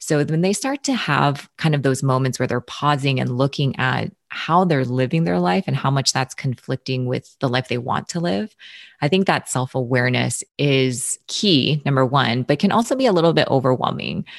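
On a very clean recording with a silent background and a dry, close sound with no echo, a woman with a very deep, low pitch and vocal fry speaks at a moderate pace with lively intonation. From Hawaii. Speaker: brain-based health and movement coach. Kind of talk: interview; guided exercise.

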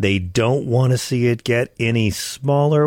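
On a very clean recording with a silent background, a man with an American accent speaks in a plain, everyday voice at medium pitch with lively intonation. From Long Island, New York. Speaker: radio host. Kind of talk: political talk radio commentary; interview. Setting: studio.

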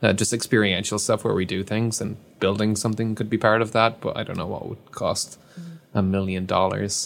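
Fairly low in pitch and flat, monotone in intonation, a man with an Irish accent speaks at a fairly quick pace. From Ireland. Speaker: YouTube science creator, engineer. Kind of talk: casual interview chat.

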